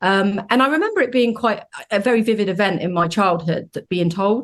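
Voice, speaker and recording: Talking at a fairly quick pace, a woman with a British accent uses a medium pitch and ordinary pitch variation. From UK. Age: 40s. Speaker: donor conception advocate. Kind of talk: podcast interview. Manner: hesitant, many fillers.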